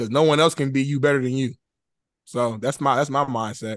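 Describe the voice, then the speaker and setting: Against a quiet background, a man with an American accent speaks very fast at a fairly high pitch with ordinary pitch variation. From Indianapolis, Indiana. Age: 20s. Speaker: sports show host. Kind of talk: casual interview.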